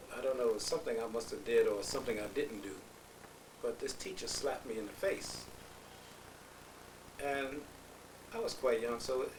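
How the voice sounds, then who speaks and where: A man with an American accent at a fairly quick pace, long, frequent pauses, audible room echo and noticeable background noise. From New Rochelle, New York. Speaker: family elder. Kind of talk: family oral history interview. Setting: at a relative's home.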